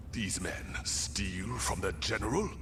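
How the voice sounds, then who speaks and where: A man puts on a character voice and speaks at a fairly slow pace. Loud background noise fills the recording. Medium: video game. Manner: calm, measured, formal.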